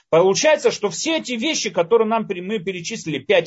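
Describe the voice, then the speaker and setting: With very wide swings in pitch, a man speaks at a fairly quick pace. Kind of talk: lecture.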